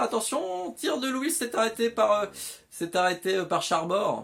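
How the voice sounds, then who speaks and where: A man is speaking. His pace is moderate. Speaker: YouTuber commentating video game football. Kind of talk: live commentary. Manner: animated.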